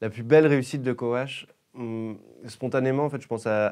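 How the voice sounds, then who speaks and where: A man's fairly even intonation over a quiet background. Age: 20s. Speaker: startup founder. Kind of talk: interview. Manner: halting, many fillers and repetitions. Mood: calm, friendly. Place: studio. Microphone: lapel.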